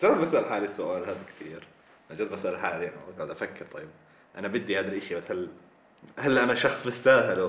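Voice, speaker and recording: A man speaks at a fairly quick pace with big swings in loudness. Audible room echo surrounds his voice. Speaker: guest, university student. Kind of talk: casual chat.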